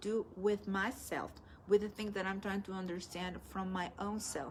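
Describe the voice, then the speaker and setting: A woman with a Spanish accent at a moderate pace. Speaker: spiritual teacher. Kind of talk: live stream talk. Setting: live stream. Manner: halting.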